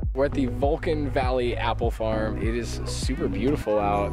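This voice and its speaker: Music plays behind a man speaking at a moderate pace, his voice dry with no echo. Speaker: travel vlogger. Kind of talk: casual vlog chat. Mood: cheerful, relaxed. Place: open country. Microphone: phone near.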